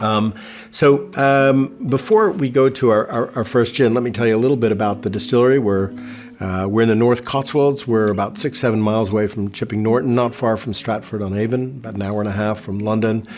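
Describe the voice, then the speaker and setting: A man with an American accent, medium pitch, fairly even intonation and a fairly quick pace, over noticeable background noise. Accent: American, noticeable in England. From New York City. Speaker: distillery founder and CEO. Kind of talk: virtual tasting presentation. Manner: halting, many fillers.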